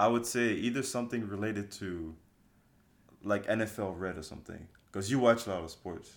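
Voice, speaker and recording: Speaking at a fairly quick pace and a fairly low pitch, a man shows ordinary pitch variation and big swings in loudness on a very clean recording with a silent background. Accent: slight French. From France. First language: French. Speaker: trainee pilot. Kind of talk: casual chat.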